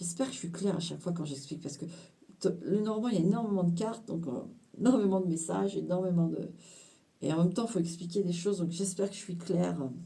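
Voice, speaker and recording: A woman's fairly low, dark, mellow, somewhat breathy voice at a very fast pace, with audible room echo. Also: ordinary pitch variation. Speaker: tarot card reader. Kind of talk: card reading interpretation. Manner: animated, talkative.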